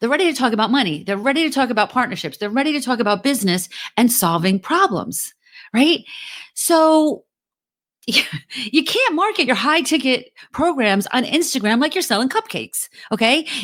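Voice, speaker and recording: A woman with a New Jersey accent speaks at a moderate pace in an energetic tone, her high pitch moving in very wide swings. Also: very clean recording, silent background. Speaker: podcast host; LinkedIn marketing coach. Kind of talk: podcast talk, motivational business advice. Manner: energetic, direct, casual.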